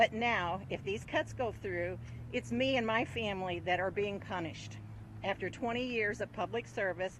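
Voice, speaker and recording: A woman with an American accent speaks with vocal fry. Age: 60s. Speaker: retiree. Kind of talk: prepared statement. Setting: outdoors.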